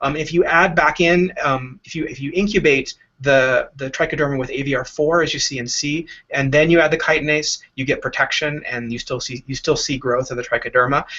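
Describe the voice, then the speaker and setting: A man talks at a fairly quick pace. His pitch sits fairly high and his intonation stays fairly even. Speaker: scientist leading a research lab. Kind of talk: lecture. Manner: fast; halting, many fillers and repetitions.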